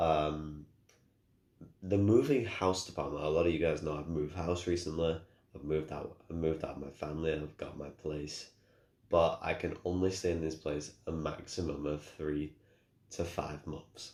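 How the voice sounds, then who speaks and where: A man with a Manchester accent at a moderate pace, his intonation fairly even. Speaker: gamer streamer. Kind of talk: casual vlog update. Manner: halting.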